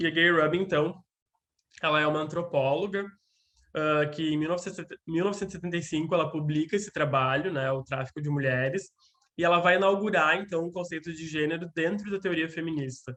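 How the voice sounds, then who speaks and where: A man speaks at a fairly quick pace, his fairly high pitch carrying a bright, sharp tone. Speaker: lecturer on gender and psychoanalysis. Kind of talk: lecture. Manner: fast; animated.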